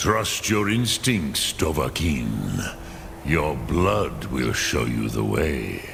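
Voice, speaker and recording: A man performs a put-on character voice at a very slow pace. Loud background noise fills the recording. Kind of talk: archaic mystical speech with dragon-tongue words. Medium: video game. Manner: slow, measured, solemn.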